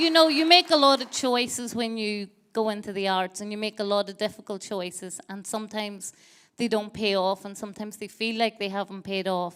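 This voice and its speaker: A woman speaks with a Donegal accent at a fairly quick pace. Her loudness swings widely. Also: fairly high pitch for a woman, ordinary pitch variation. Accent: Donegal Irish. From Ireland, County Donegal. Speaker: theatre director. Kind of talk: on-stage interview. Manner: halting.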